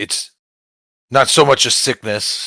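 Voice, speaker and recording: This is a man doing a put-on character voice. The sound is raspy. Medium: actual play. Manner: gruff, terse.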